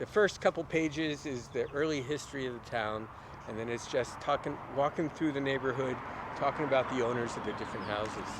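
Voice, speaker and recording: A man speaks in a normal speaking voice at a fairly quick pace. His pitch sits fairly high, with ordinary pitch variation. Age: 60s. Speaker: local history author. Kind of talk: casual chat. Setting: outdoors.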